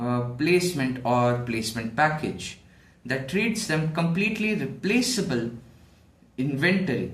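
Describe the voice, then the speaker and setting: Somewhat breathy and fairly high-pitched, a man talks at a fairly slow pace with very wide pitch swings. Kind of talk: monologue essay to camera. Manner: some stuttering, hesitant.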